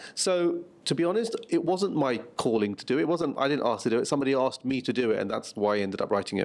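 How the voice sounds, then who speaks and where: A man rattles along at a very fast pace with hardly any pauses, his fairly high pitch swinging very widely. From England, Luton; England. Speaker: writer and journalist; interviewee. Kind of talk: interview. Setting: press junket interview in Seattle. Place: meeting room. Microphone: handheld.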